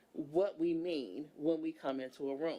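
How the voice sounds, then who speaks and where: A woman is speaking. Her intonation is lively. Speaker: environmental justice advocate, council member. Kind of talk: public meeting discussion. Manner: loud; animated.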